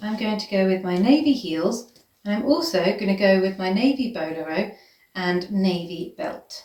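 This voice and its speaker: A woman with a British accent speaks in an enthusiastic tone. Her pitch variation is ordinary. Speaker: vintage fashion content creator. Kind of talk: styling tutorial. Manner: casual, enthusiastic.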